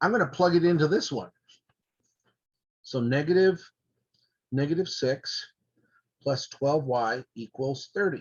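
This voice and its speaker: Somewhat breathy, a man talks at a fairly high pitch with ordinary pitch variation. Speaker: math teacher. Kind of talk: lecture. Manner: fast.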